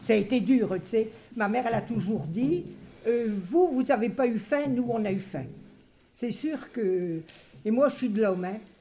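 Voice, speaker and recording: Her voice fairly high in pitch, somewhat breathy and dark and mellow in tone, a woman speaks fairly slowly with lively intonation and long, frequent pauses. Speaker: retired interviewee recalling school days. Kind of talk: testimony.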